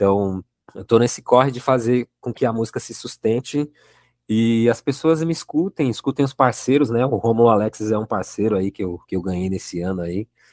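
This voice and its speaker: At a moderate pace, a man speaks in an unremarkable speaking voice at medium pitch with ordinary pitch variation. The sound is dry and close, with no echo. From São Paulo, south zone periphery. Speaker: jazz musician and musicology student. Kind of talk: podcast interview discussion.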